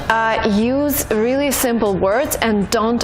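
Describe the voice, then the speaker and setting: Music plays in the background as a woman speaks. Her voice is fairly high in pitch with ordinary pitch variation. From Russia. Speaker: language teacher vlogger. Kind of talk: tutorial. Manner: casual.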